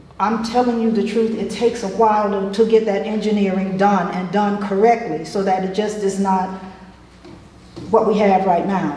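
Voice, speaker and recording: Over noticeable background noise and audible room echo, a woman with an American accent speaks at a medium pitch in a flat monotone. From Florida. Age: 60s. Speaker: resident speaking at public comment. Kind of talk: public comment at town meeting. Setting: town commission meeting.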